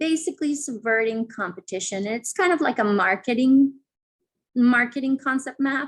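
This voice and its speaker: A woman with a non-native accent speaks at a high pitch with lively intonation. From Colombia. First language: not English. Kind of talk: conference presentation. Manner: halting, many fillers and repetitions.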